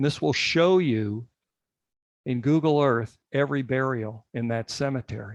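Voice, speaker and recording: A man's normal speaking voice at a medium pitch, with ordinary pitch variation, a moderate pace, and a dry, close sound with no echo. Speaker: genealogy committee leader. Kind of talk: tutorial during an online meeting.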